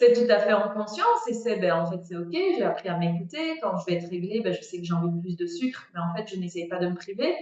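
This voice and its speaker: Fairly quick speech comes from a woman. Her pitch is medium. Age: 30s. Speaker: food coach. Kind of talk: casual chat. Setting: outdoors, video call.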